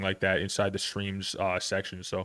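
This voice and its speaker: A man's fairly low voice at a moderate pace on a very clean recording with a silent background. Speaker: podcast host and streamer. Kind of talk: casual chat.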